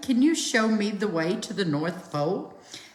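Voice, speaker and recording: Someone performs a put-on character voice at a fairly high pitch. A slight echo can be heard. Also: moderate pace. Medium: read story.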